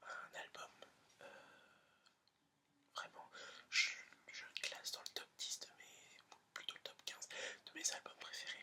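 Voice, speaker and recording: A whispering man speaks at a very slow pace with long, frequent pauses and big swings in loudness. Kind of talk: whispered ASMR presentation of an album to camera. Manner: whispered, soft, hesitant with filler words.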